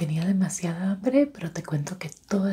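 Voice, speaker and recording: A woman talks at a fairly quick pace with ordinary pitch variation. Light background noise is present. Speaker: ASMR creator. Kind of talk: soft-spoken ASMR roleplay. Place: home room.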